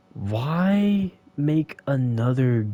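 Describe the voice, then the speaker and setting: The voice is dark, mellow and somewhat breathy, with very wide pitch swings and a dry, close sound with no echo. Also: man. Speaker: gaming streamer. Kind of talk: casual monologue. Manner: halting.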